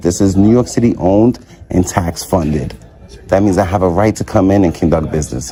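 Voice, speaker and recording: A man speaks at a fairly quick pace with lively intonation and very even loudness. Noticeable background noise can be heard. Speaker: first amendment auditor. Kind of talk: confrontation with police. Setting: public lobby of health facility. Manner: calm, measured.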